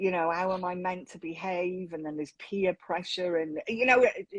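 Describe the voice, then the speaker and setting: A woman speaks in a southern English accent at medium pitch. Her pace is moderate and her pitch varies in an ordinary way. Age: 50s. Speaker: mental health advocate. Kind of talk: casual interview chat.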